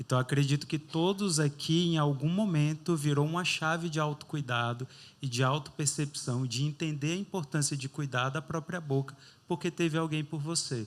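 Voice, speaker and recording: A man in a normal speaking voice speaks at a moderate pace and fairly high pitch, his intonation fairly even, in a very clean recording with a silent background. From Brazil, interior of Bahia. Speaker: dentist running a charity. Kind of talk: interview on stage.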